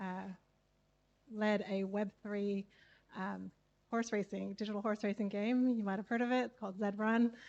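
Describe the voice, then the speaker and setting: A woman speaks at a medium pitch with an American accent, her intonation flat and monotone. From California, US. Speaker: community founder. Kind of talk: live event interview.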